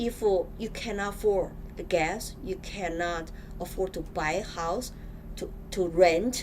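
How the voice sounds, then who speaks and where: A woman speaks at a medium pitch with a Chinese accent. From China. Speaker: political candidate. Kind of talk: interview. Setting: studio.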